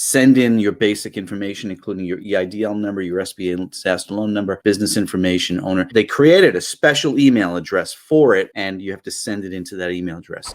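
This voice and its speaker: Very fast and with hardly any pauses, a man with a fairly low pitch talks with big swings in loudness and ordinary pitch variation in a very clean recording with a silent background. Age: 60s. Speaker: loan officer and finance show co-host. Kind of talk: live show Q&A.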